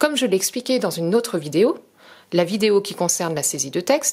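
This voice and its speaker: The pitch swings very widely up and down. The pace is fairly quick. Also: woman. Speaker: product demonstrator. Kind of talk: tutorial.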